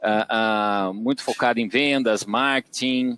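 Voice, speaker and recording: A man speaks at a fairly slow pace with fairly even intonation. The sound is dry and close, with no echo. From Brazil, Tatuí, São Paulo interior. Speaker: agronomist and digital business executive. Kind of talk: podcast interview. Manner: hesitant, many fillers.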